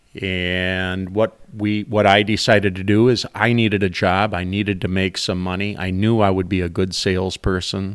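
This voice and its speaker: On a very clean recording with a silent background, a man with an Upper Midwest accent talks at a moderate pace in a very deep, low pitch with monotone, flat intonation. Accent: Upper Midwest (Minnesota). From Minnesota, St. Cloud area. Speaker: small business owner. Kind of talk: casual interview.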